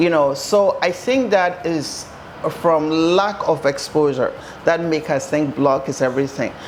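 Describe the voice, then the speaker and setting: Noticeable background noise runs behind the recording. A woman speaks at a fairly slow pace. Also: fairly low pitch for a woman, ordinary pitch variation. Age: 60s. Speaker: home builder. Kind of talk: guided tour interview.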